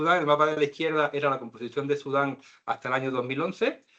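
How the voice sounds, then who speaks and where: Talking at a very fast pace in a Canary Islands accent, a man uses a fairly high pitch with ordinary pitch variation. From Canary Islands, Spain. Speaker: lecturer. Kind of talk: lecture.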